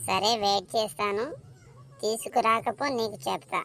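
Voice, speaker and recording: A woman performs a cartoonish character voice at a medium pitch. She speaks at a fairly slow pace with ordinary pitch variation. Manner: complaining, reproachful.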